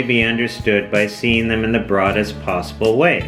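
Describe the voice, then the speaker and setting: Music plays in the background as a man speaks. He keeps a moderate pace at a medium pitch. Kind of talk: educational documentary narration.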